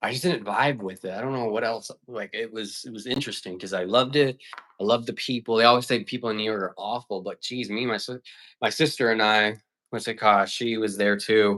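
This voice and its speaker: On a very clean recording with a silent background, a man with an American accent and a medium pitch speaks fairly quickly in an animated, bright, sharp tone. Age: 20s. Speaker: filmmaker and livestreamer. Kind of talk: casual livestream chat. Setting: livestream. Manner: fast.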